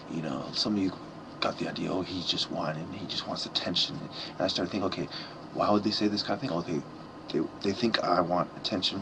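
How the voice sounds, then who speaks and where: A quiet man with a very deep, low pitch talks at a very fast pace in fairly even intonation, over noticeable background noise. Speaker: vlogger. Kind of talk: personal vlog monologue. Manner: halting.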